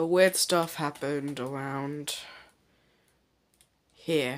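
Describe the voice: The speaker talks at a very slow pace with ordinary pitch variation.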